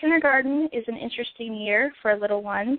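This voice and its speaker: This woman has an unremarkable speaking voice with an American accent and a fairly high pitch. Her pitch varies in an ordinary way at a moderate pace. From Southern Virginia. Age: 20s. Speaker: first grade teacher. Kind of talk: casual chat.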